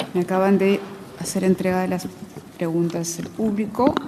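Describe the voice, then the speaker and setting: A woman speaks at a moderate pace with fairly even intonation over noticeable background noise. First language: Spanish. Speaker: moderator. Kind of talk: audience Q&A. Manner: halting.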